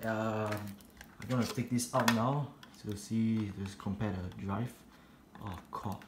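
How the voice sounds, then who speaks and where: Over noticeable background noise, a man speaks at a fairly slow pace and medium pitch, with fairly even intonation and long, frequent pauses. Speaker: tech video host. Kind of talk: casual tech tutorial voiceover. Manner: soft-spoken.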